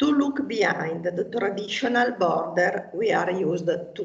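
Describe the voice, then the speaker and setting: In an Italian accent, a woman of medium pitch talks at a very slow pace with very wide pitch swings, amid audible room echo. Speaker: local politician. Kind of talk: prepared speech. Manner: formal.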